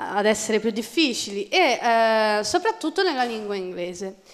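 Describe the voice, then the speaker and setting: Against a quiet background, a woman speaks at a fairly slow pace in a fairly high pitch, making very wide pitch swings. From Florence, Italy; Tuscany, Italy. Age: 20s. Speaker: university law student with dyslexia; conference speaker. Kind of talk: testimony. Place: hall. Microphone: podium.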